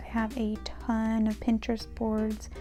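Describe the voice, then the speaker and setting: A woman speaks in a soft-spoken way. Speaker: bullet journal YouTuber. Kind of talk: voiceover tutorial. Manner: monotone.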